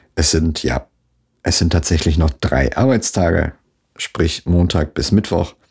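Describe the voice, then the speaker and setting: Vocal fry marks a man's very deep, low voice as he speaks at a moderate pace with ordinary pitch variation. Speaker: solo podcaster. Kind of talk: casual monologue. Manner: casual with many fillers.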